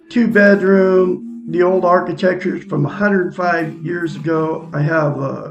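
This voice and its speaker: An American accent with ordinary pitch variation, audible room echo and music in the background. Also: man. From Oregon, US. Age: 60s. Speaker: self-help video host. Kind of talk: live-stream monologue. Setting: at home.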